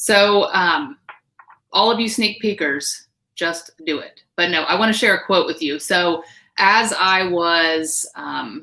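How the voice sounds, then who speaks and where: Loud and very slow, a woman speaks at a medium pitch with a bright, sharp tone and lively intonation. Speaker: direct sales team leader. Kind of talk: live stream panel talk. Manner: animated.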